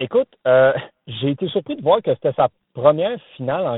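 A man with a normal speaking voice and lively intonation at a moderate pace. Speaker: tennis columnist. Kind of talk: casual chat. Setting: phone call from a car. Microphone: phone line.

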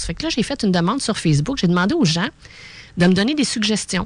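This woman has a Quebec accent, a medium pitch and lively intonation. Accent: Québécois French. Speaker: radio co-host and energy practitioner. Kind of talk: radio talk show. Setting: studio.

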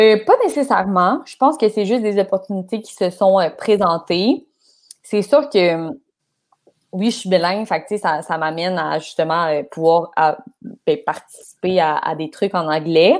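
A woman with an unremarkable speaking voice at a medium pitch talks at a fairly slow pace, her intonation lively and her loudness swinging widely. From Quebec, Laval. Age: 20s. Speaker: sports journalist. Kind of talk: casual chat.

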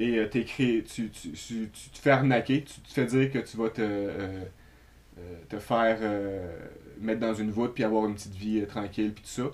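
A man with a medium-pitched voice talks at a moderate pace in fairly even intonation, leaving long, frequent pauses. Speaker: podcast co-host. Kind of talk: casual chat.

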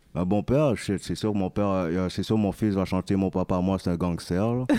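In a very clean recording with a silent background, a man talks at a fairly slow pace and fairly low pitch with a dark, mellow tone, ordinary pitch variation and very even loudness, the sound dry and close with no echo. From Quebec. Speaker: rapper. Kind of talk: interview.

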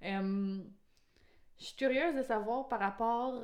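A woman speaks with a Quebec accent. Her pitch varies in an ordinary way. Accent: Québécois French. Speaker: podcast host. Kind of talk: casual chat.

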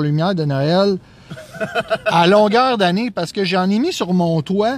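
Noticeable background noise sits behind a man whose high-pitched voice carries lively intonation. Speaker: podcast co-host. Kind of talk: casual chat. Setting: in a car.

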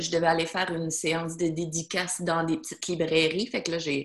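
A woman talks at a fairly quick pace with a fairly low pitch. She has an ordinary speaking voice. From Acadian Peninsula, New Brunswick. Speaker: self-published novelist. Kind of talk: casual interview.

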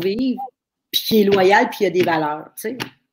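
With ordinary pitch variation, a woman speaks in a medium pitch. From Quebec, Thetford Mines area. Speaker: livestream talk show host. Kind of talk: casual interview. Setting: live stream at home. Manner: animated.

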